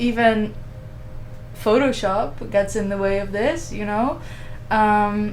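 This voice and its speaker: A woman speaks at a very slow pace with long, frequent pauses, her fairly high pitch moving with ordinary variation amid audible room echo. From Netherlands. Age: 20s. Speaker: radio host. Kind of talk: casual chat.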